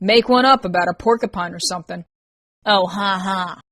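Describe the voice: Plain reading aloud fills the clip, with ordinary pitch variation. It is quiet in the background.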